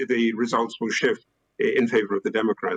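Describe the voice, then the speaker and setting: This man has a British accent and talks at a moderate pace. The sound is dry and close, with no echo. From UK. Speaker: historian and academic panelist. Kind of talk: panel discussion. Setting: theater stage, live-streamed. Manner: hesitant, many fillers.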